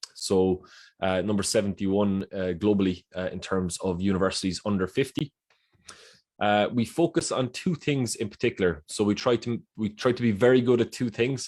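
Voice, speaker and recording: The recording is very clean with a silent background. A man speaks at a moderate pace in a fairly low pitch with ordinary pitch variation. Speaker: university recruitment officer. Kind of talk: presentation. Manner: halting, many fillers and repeats.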